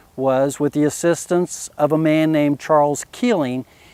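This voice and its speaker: This man has a West Virginia accent and a fairly high pitch. He speaks at a moderate pace. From US, West Virginia. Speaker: physician and conservationist. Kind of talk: explanatory talk. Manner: measured, with fillers.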